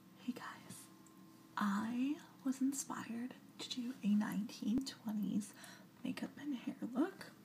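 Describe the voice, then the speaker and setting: Whispering and soft-spoken, a woman talks at a very slow pace with long, frequent pauses over noticeable background noise. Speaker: ASMR video creator. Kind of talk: ASMR whispered talk to camera. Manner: soft-spoken, whispering.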